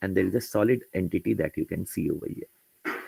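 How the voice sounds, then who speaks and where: A somewhat breathy man at a moderate pace, the sound dry and close with no echo. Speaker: software trainer. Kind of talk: tutorial.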